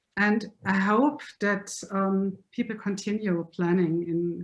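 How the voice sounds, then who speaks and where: A woman's medium-pitched voice with a German accent, at a very slow pace. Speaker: lecturer. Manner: halting.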